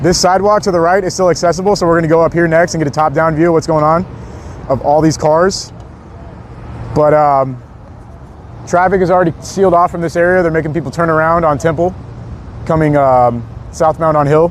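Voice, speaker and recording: A man speaks at a fairly quick pace in a fairly high voice, his intonation fairly even, with long, frequent pauses and noticeable background noise. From US, Southern parents (Arkansas, Louisiana). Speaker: live streamer. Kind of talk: live street reporting stream. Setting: outdoors on street at night. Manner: fast; casual, chatty.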